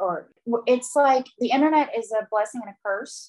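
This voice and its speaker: This woman has a plain, everyday voice. She speaks at a moderate pace with ordinary pitch variation. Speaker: podcast host interviewer. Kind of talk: recap and interview show, casual chat with ad read.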